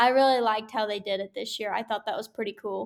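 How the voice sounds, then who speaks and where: In an American accent, a woman speaks on a very clean recording with a silent background. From Oklahoma. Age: young. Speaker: livestock showman. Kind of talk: casual interview.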